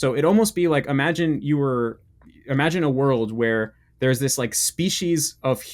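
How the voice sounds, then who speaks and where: A man with an American accent has an ordinary speaking voice at a medium pitch with ordinary pitch variation. The recording is very clean, with a silent background. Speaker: language learning youtuber. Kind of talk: casual interview chat. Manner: casual, filler-heavy with restarts.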